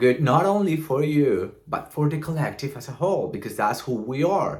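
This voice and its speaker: Recorded very cleanly against a silent background, a man speaks with a Colombian accent. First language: Spanish. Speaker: vlogger. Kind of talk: casual vlog monologue. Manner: talkative, smiling.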